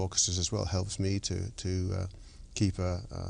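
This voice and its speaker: Against a quiet background, a man with a non-native accent talks fairly quickly at a fairly low pitch. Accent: foreign, noticeable. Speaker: orchestra conductor. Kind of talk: interview.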